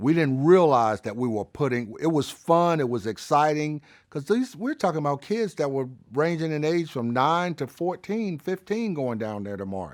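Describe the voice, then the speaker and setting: A man's fairly high voice with a Southern US accent and very wide pitch swings, in a very clean recording with a silent background. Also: moderate pace. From Birmingham, Alabama. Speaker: civil rights era witness. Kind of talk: interview answer.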